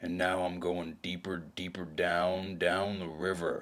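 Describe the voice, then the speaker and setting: A man uses a put-on character voice with a very deep, low pitch. His tone is weary and his pace fairly slow. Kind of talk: noir audio drama narration. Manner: brooding, world-weary.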